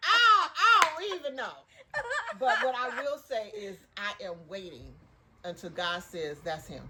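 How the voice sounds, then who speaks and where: A fairly high-pitched woman speaks in an animated tone at a fairly slow pace, with very wide pitch swings, big swings in loudness, long, frequent pauses and noticeable background noise. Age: 60s. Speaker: podcast co-host. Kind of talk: casual chat.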